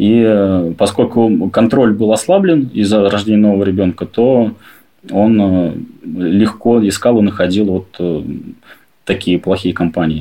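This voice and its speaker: A man speaks at a fairly slow pace and a fairly low pitch, with a dark, mellow tone and ordinary pitch variation. His loudness stays very even, and he leaves long, frequent pauses. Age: 30s. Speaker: adoptive father. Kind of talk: personal story interview.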